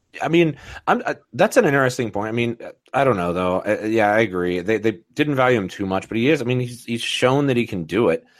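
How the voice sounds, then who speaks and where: Speaking at a fairly quick pace, a man uses lively intonation at a medium pitch. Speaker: fantasy football podcast host. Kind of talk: casual chat.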